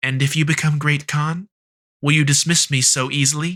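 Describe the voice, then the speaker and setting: In a put-on character voice, a man talks with monotone, flat intonation. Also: fairly high pitch for a man, moderate pace. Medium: read story. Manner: sharp, proud.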